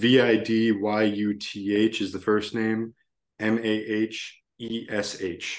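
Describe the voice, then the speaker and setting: In an American accent, a man speaks at a very slow pace with monotone, flat intonation. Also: fairly low pitch for a man. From Virginia. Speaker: podcast co-host. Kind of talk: casual chat.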